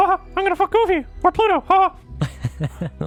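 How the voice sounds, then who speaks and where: In a put-on character voice at an extremely high pitch, someone speaks at a fairly slow pace over faint background music. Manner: mocking, joking.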